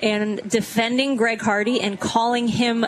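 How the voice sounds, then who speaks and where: Noticeable noise runs beneath a woman's fairly high-pitched voice. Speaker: radio host. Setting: live remote event with audience.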